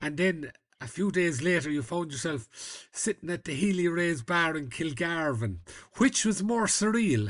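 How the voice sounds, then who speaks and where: A man speaks with an Irish accent at a high pitch and a moderate pace. His intonation is lively, and the background is quiet. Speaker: journalist and podcast host. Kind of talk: casual interview.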